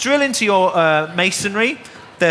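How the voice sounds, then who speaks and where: A man with a northern English accent speaks in a raised, projected voice at a high pitch. Noticeable background noise sits behind him. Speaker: DIY presenter. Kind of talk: live demonstration. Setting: stage with audience.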